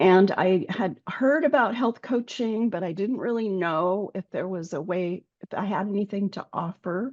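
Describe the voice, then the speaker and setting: A woman with an ordinary speaking voice at medium pitch and a moderate pace, ordinary pitch variation, a quiet background and a dry, close sound with no echo. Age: 60s. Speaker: health coach. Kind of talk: interview.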